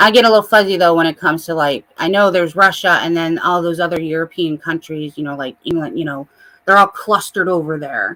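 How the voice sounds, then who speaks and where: A woman with a Midwestern accent and a bright, sharp tone, at a very fast pace. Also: fairly low pitch for a woman, ordinary pitch variation. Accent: Midwest. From US Midwest. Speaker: livestreamer. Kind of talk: casual chat.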